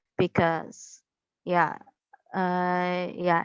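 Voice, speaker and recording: A medium-pitched woman's voice, dry and close with no echo, against a quiet background. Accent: Indonesian. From Indonesia. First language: Indonesian. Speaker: university student. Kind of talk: interview. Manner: halting.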